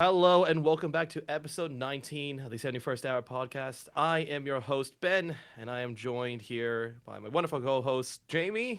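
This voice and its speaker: On a very clean recording with a silent background, a man with a fairly high pitch talks at a moderate pace with hardly any pauses, ordinary pitch variation, and big swings in loudness. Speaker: podcast host. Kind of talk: casual chat. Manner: sounds slightly out of breath when introducing; lowered voice for intro.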